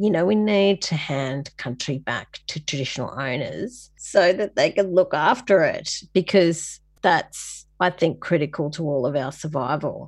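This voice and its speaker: In an Australian accent, a woman with a fairly low pitch speaks at a fairly slow pace with lively intonation against a quiet background. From Sydney, Australia (La Perouse). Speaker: designer and film producer. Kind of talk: interview conversation.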